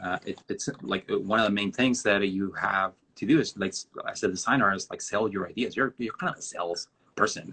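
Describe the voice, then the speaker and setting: Bright and sharp in tone, a man's fairly low voice moves at a fairly quick pace with ordinary pitch variation. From northern Mexico border town. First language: Spanish. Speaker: designer. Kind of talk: interview on a live stream. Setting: video live stream. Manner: halting, many fillers.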